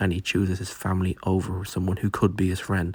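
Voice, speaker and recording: On a very clean recording with a silent background, a man talks at a fairly quick pace in a fairly low, somewhat breathy voice. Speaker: movie reviewer. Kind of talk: unscripted video review. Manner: casual, filler-heavy (um, like); stuttering.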